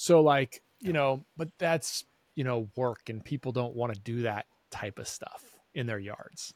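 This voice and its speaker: A normal speaking voice at a fairly slow pace, with big swings in loudness, ordinary pitch variation, and a dry, close sound with no echo. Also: man, medium pitch for a man. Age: 40s. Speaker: eye doctor and podcast host. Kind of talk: casual interview.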